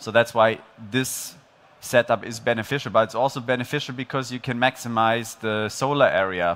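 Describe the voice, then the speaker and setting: Here a man talks at a moderate pace with fairly even intonation. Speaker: presenter. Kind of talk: conference talk. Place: stage. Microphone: headset.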